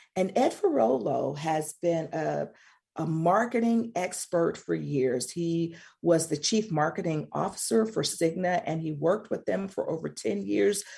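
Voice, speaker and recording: A woman with an American accent speaks at a fairly slow pace in a fairly low pitch with vocal fry and very wide pitch swings, over a quiet background. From US South, Mississippi. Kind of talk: radio talk show interview.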